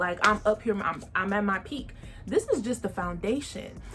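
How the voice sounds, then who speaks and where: Over music in the background, a woman with an American accent speaks at a moderate pace with a fairly high pitch and ordinary pitch variation. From Texas, San Antonio. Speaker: podcast host. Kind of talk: casual vlog monologue.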